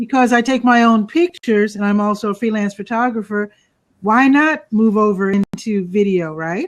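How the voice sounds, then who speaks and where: Speaking at a moderate pace, a woman uses an unremarkable speaking voice pitched fairly high, with ordinary pitch variation. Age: 60s. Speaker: photographer and videographer. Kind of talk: casual interview.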